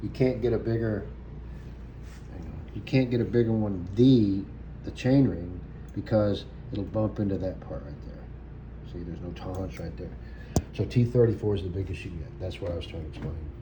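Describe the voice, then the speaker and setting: A man with a very deep, low pitch speaks at a fairly quick pace, his pitch swinging very widely. He leaves long, frequent pauses, and the room echo is audible. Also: big swings in loudness. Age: 60s. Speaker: vlogger. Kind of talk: casual chat. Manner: halting.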